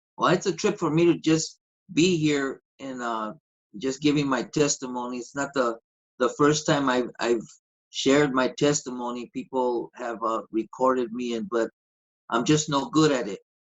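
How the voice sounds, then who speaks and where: At a moderate pace, a plain, everyday voice with an American accent shows ordinary pitch variation. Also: man, medium pitch for a man. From East Los Angeles, Boyle Heights. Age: 60s. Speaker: pastor and gospel singer. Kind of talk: testimony.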